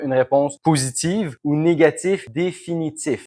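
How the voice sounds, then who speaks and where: A man speaks at a fairly high pitch with a Quebec accent. His pitch varies in an ordinary way, and the recording is very clean with a silent background. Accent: Québécois French. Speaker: B2B sales consultant. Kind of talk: business explainer to camera. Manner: casual, conversational.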